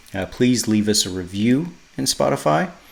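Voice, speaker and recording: Fairly low in pitch, a man with an American accent talks at a fairly slow pace with ordinary pitch variation. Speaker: podcast host. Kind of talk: casual podcast monologue. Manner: hesitant, many fillers and repeats.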